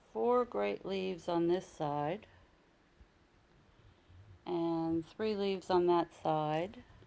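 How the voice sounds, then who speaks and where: The pace is very slow, with long, frequent pauses. The tone is dark and mellow, and the intonation is lively. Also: woman, fairly low pitch for a woman. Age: 70s. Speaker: orchid grower. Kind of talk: casual how-to talk to camera.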